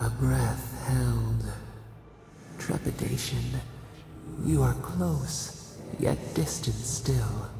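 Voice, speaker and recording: A put-on character voice at a very slow pace, with clear background noise and clear echo. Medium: machinima. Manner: cryptic, fragmented, poetic.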